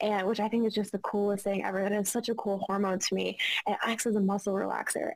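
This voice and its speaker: A woman with a medium-pitched voice speaks while noticeable noise fills the background. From Arkansas. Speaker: pelvic floor physical therapist. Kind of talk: interview answer.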